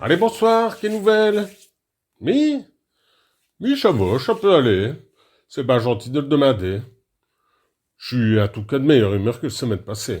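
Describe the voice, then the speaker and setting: On a very clean recording with a silent background, a man with a Picard accent speaks at a fairly slow pace and medium pitch, with very wide pitch swings and long, frequent pauses. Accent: Picard dialect, local patois. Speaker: radio presenter. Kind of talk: comic radio monologue. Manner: humorous, chatty.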